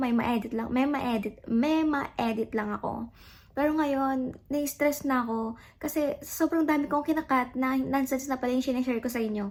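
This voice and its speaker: In a very clean recording with a silent background, a woman speaks at a moderate pace in a high voice with an animated tone. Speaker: vlogger. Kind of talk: casual vlog talk to camera. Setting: home, alone. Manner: loud; chatty, animated.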